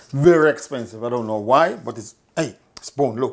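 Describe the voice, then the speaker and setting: This man speaks in a Jamaican accent. His pace is moderate and his pitch varies in an ordinary way. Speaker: cooking show host. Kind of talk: cooking tutorial. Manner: casual, chatty.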